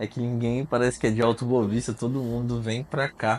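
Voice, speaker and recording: A man at a medium pitch, in a plain, everyday voice. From Mato Grosso, Brazil. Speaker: podcast host. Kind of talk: casual interview.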